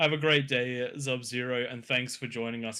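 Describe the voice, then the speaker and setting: A man speaks in a flat monotone at a moderate pace. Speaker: gaming stream co-host. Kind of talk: casual chat. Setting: Discord voice call. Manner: talkative.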